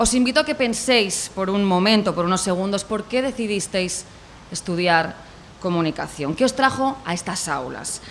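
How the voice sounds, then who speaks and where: A woman with a Spanish accent speaks at a moderate pace in a medium pitch, her intonation lively. Background noise is noticeable. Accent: Spanish (Spain). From Spain. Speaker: corporate communications representative. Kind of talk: welcome speech at a university event. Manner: formal.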